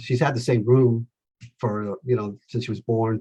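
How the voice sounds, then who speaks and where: A man's medium-pitched, somewhat breathy voice with an American accent, dark, mellow tone and fairly even intonation. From Los Angeles, California. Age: 60s. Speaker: salesman. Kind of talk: interview.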